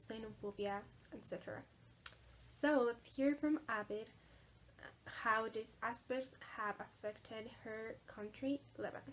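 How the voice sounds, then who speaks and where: This woman speaks with a Spanish accent at a fairly high pitch. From Mexico. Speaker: video presenter. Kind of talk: scripted narration.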